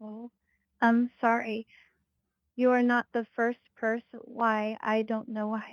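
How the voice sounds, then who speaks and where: A woman with a Filipino accent speaks at a very slow pace in a monotone, flat intonation. Long, frequent pauses break up her speech, and the sound is dry and close with no echo. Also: fairly high pitch for a woman. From Philippines. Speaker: hotel reservation agent. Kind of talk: customer service call. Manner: halting, robotic-sounding.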